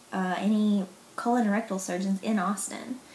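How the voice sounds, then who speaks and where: In a Southern US accent, a woman talks at a moderate pace with a fairly high pitch. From US South, Mississippi. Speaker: vlogger sharing illness experience. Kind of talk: personal vlog testimony. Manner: casual, hesitant with many fillers.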